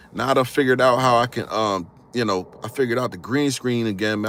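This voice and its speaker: With a northern US accent, a man with a fairly low pitch talks at a very fast pace with ordinary pitch variation. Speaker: history YouTuber. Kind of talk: casual live stream talk. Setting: live stream with green screen. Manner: animated.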